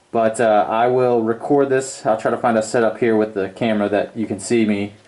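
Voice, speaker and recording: Amid noticeable background noise, a man speaks at medium pitch and a moderate pace. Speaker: DIY tool reviewer. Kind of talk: product review tutorial. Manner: casual with fillers; loud.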